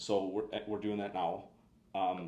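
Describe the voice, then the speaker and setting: This man's voice sits at a fairly low pitch and stays monotone and flat. Audible room echo surrounds it. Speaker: motorcycle tuning company representative. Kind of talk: live Q&A product explainer. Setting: live stream. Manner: fast; halting, many fillers and repeats.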